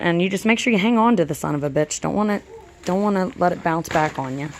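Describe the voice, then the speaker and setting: In an American accent, a woman speaks at a fairly quick pace with ordinary pitch variation. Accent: country twang. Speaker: DIY video creator. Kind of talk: tutorial. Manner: casual, filler-heavy.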